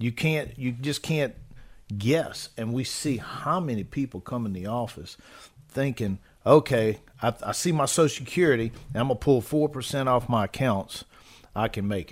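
Speaking at a moderate pace, a man has an unremarkable speaking voice at a medium pitch with ordinary pitch variation. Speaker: financial advisor co-host. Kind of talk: casual chat.

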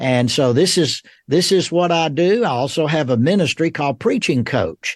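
A man with a Southern US accent talks at a fairly high pitch with lively intonation and very even loudness. The sound is dry and close with no echo, set against a quiet background. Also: moderate pace. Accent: Southern American. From US South, Georgia (Rome). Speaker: theology professor. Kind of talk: interview.

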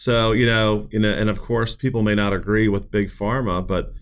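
Fairly low in pitch, a man speaks in a normal speaking voice at a moderate pace with fairly even intonation. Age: 40s. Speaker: financial advisor and radio show host. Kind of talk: radio talk show discussion. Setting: studio.

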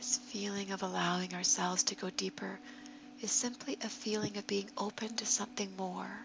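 Clear background noise runs beneath speech that moves along at a rather brisk rate. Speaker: yoga meditation guide. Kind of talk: guided meditation.

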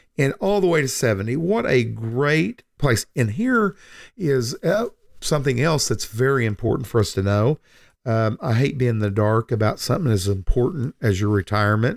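A man with a plain, everyday voice, medium in pitch, with lively intonation, very even loudness and a moderate pace, in a dry, close recording with no echo, very clean against a silent background. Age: 60s. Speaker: financial advisor and radio host. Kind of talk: casual chat.

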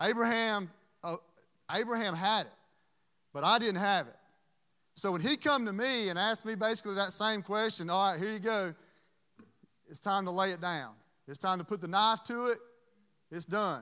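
Speaking with a Southern US accent, a man uses a raised, projected voice, high in pitch and bright and sharp in tone. His pace is moderate, with ordinary pitch variation and long, frequent pauses. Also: very clean recording, silent background. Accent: Southern US (Georgia). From US South, Georgia (Dublin). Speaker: preacher. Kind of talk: sermon.

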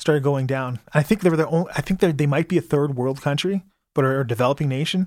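An unremarkable speaking voice, this man's fairly high pitch moves with ordinary variation on a very clean recording with a silent background. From Calgary, Alberta, Canada. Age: 30s. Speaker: activist and community patrol co-founder. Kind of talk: radio interview. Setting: studio.

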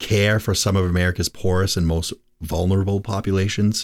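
Recorded very cleanly against a silent background, a man with a very deep, low pitch talks at a moderate pace. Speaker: financial advisor and radio host. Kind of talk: radio talk show. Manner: casual, conversational.

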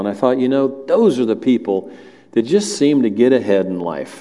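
With a Southern US accent, a man talks with lively intonation. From US South (Alabama family). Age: 60s. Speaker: lay preacher, church elder. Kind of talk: sermon. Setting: church with congregation.

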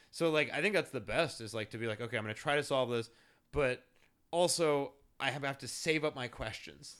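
Recorded very cleanly against a silent background, a man with a fairly high pitch has an unremarkable speaking voice. He talks at a fairly quick pace with ordinary pitch variation. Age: 30s. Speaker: podcast host, front-end developer. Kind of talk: casual interview chat.

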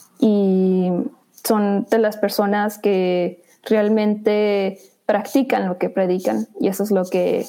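A woman with a dark, mellow tone talks at a very slow pace. Her intonation is monotone and flat. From northern Mexico, Chihuahua. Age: 20s. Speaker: video journalist. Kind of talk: interview.

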